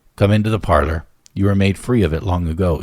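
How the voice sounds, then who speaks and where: A man uses a raspy, put-on character voice with very deep, low pitch and ordinary pitch variation. He talks at a very fast pace with very even loudness. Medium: read story. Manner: sly, haggling.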